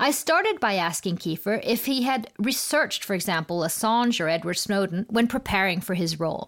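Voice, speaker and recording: Against noticeable background noise, a woman of medium pitch talks at a fairly quick pace with hardly any pauses, very even loudness and lively intonation. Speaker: podcast host. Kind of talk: interview.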